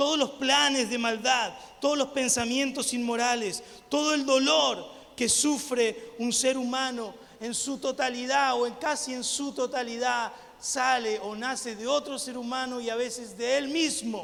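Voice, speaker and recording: A man with an Argentine accent and an extremely high pitch, animated in tone, at a fairly slow pace, with audible room echo. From Argentina. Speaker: missionary preacher. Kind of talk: sermon. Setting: church with congregation.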